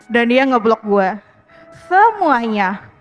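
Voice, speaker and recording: The woman's delivery is very slow. Behind her, music can be heard. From Jakarta. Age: 20s. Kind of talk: personal storytelling to live audience. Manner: casual, conversational.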